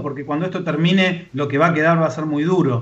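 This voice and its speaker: Over noticeable background noise, a man talks at a moderate pace in a high pitch. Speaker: social worker, co-host. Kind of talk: radio interview.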